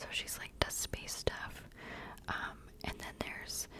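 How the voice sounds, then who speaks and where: A woman is whispering at a moderate pace. Noticeable background noise can be heard. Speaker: ASMR creator. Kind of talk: whispered ASMR ramble. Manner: halting, filler-heavy.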